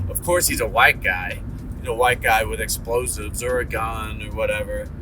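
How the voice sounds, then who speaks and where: Noticeable background noise and audible room echo around a man with an American accent. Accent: slight Ohio twang coming back. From Ohio. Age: 40s. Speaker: vlogger. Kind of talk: casual monologue. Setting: in a car.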